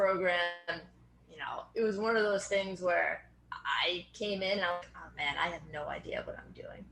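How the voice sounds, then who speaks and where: A woman with an American accent at a moderate pace, against noticeable background noise. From Boston area, US. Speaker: strength and fitness coach. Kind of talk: podcast interview.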